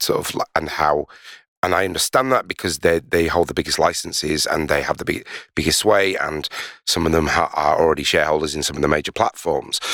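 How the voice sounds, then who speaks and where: The speech comes at a fairly quick pace with a Yorkshire accent and fairly even intonation. The recording is very clean, with a silent background and a dry, close sound with no echo. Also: man. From Leeds, northern England. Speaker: podcast host, record label co-director. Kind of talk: casual chat. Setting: basement studio.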